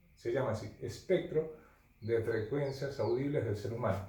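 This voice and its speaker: Over noticeable background noise and audible room echo, a man with a fairly high pitch talks at a fairly slow pace with lively intonation. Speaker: physics teacher. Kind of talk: lecture. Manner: halting.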